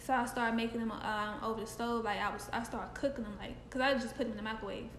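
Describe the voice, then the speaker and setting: A woman talks at a fairly quick pace in a fairly high pitch with monotone, flat intonation, amid noticeable background noise and audible room echo. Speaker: podcast co-host. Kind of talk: casual chat.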